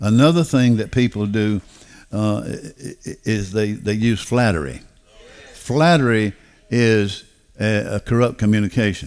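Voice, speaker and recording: A man with a Southern US accent, fairly low in pitch and fairly slow, with ordinary pitch variation and big swings in loudness. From US South. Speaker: pastor. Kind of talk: sermon. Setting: church. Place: church. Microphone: headset.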